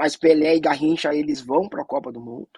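Recorded with a dry, close sound and no echo, a man speaks at a moderate pace in a fairly high pitch with a dark, mellow tone and fairly even intonation. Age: 40s. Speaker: anti-racism organization director. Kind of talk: panel discussion.

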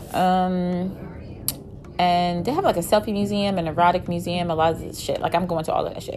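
Her intonation fairly even, a woman talks at a moderate pace in an ordinary speaking voice with a fairly low pitch. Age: 30s. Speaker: vlogger sharing personal dating experiences. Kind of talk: casual monologue.

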